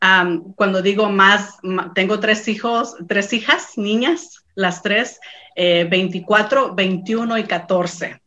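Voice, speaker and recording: At a very slow pace, a woman speaks in a bright, sharp tone with ordinary pitch variation. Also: medium pitch for a woman. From Mexico, San Luis Potosí. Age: 40s. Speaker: small business owner. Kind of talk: interview testimony. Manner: halting, many fillers.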